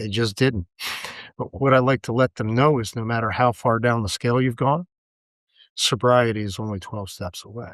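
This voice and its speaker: Against a quiet background, a man with a medium pitch talks at a moderate pace in a dry, close sound with no echo. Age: 60s. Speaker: recovering alcoholic. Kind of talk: casual chat.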